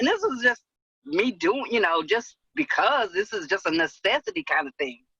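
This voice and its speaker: A woman's bright, sharp voice at a fairly slow pace, dry and close with no echo. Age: 60s. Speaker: webinar attendee. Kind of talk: Q&A question. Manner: hesitant, many fillers.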